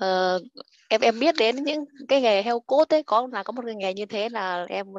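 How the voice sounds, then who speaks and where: A woman in an unremarkable speaking voice talks at a fairly quick pace and fairly high pitch with lively intonation, the sound dry and close with no echo. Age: 30s. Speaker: stay-at-home mother. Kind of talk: self-introduction.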